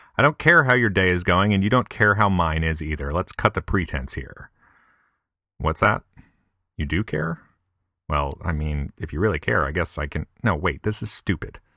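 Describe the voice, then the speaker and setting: With an upstate New York accent, a man speaks at a moderate pace in a very deep, low pitch, his tone bright and sharp and his intonation lively. The recording is very clean with a silent background, and the sound is dry and close with no echo. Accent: upstate pronunciation of milk. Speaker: podcaster. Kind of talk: comedic monologue.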